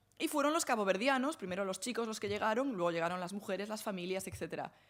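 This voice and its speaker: Speaking very fast with a Galician accent, a woman keeps her intonation lively. Her pitch sits in the medium range. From Galicia, northern Lugo. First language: Galician (speaking Spanish). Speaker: academic speaker on translation and feminism. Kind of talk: Q&A after lecture. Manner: hesitant, many fillers.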